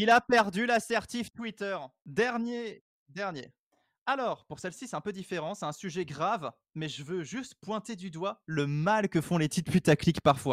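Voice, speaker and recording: A man with a high pitch speaks fairly slowly, with lively intonation and big swings in loudness. The recording is very clean with a silent background and a dry, close sound with no echo. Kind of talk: casual chat.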